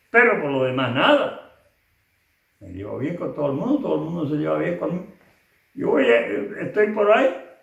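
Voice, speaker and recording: Fairly quick speech from a man, with big swings in loudness, long, frequent pauses and audible room echo. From Canary Islands, Fuerteventura. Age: 80s+. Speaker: elderly interviewee giving oral history. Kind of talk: oral history interview. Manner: casual, earthy.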